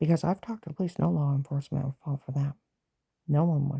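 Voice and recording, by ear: A woman's fast, low-pitched voice with a husky, rough edge, vocal fry and a dark, mellow tone, dry and close with no echo. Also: fairly even intonation.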